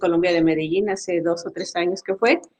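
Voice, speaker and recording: With a Mexican accent, a woman is speaking. Her pace is moderate. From Mexico. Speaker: agile coach and facilitator. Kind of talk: webinar talk.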